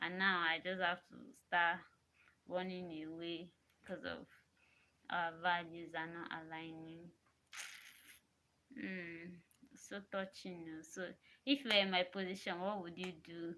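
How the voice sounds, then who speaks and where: This woman's voice is fairly low and has a bright, sharp tone, with fairly even intonation. She talks at a fairly slow pace with long, frequent pauses and big swings in loudness. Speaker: vlogger. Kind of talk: casual monologue to camera. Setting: alone in a room. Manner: soft-spoken; repetitive, halting.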